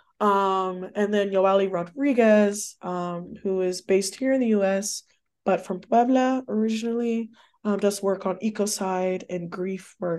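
A woman's normal speaking voice at medium pitch and a fairly slow pace, over a quiet background. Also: fairly even intonation. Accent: American. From Texas. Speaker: professor. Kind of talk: interview about research. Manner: many fillers (um, uh).

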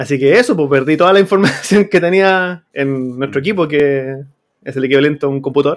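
The speaker talks at a fairly quick pace in a Chilean accent. Pitch varies in an ordinary way. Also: man, fairly high pitch for a man. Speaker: teacher and podcast host. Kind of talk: casual chat.

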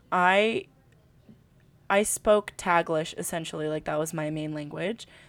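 Very slow in pace, a woman with a General American accent speaks at a fairly low pitch. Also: very clean recording, silent background. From California, Filipino American. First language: Tagalog. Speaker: podcast co-host. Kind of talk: casual chat. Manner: animated.

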